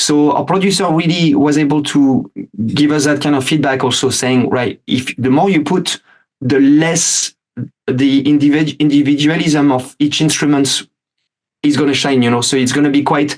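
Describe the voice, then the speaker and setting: A man with a French accent speaks at a fairly high pitch. His intonation is fairly even and his loudness very even. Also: moderate pace. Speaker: metal band musician. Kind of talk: interview. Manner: halting, many fillers.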